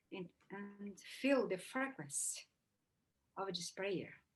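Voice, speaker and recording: In a Portuguese accent, a woman speaks very slowly in a somewhat breathy voice at medium pitch with ordinary pitch variation. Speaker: shaman. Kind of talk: casual introduction.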